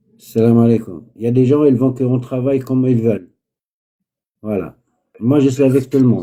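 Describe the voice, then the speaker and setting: A man speaks with a dark, mellow tone. His pitch variation is ordinary. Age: 70s. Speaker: spiritual healer. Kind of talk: live call-in healing session. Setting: live stream video call.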